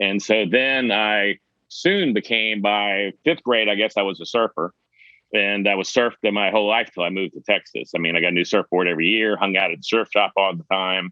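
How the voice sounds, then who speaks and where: Fairly low in pitch, a man with an ordinary speaking voice and an American accent talks at a fairly quick pace with ordinary pitch variation. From US South, Charleston, South Carolina. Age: 60s. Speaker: conference organizer. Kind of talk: podcast interview.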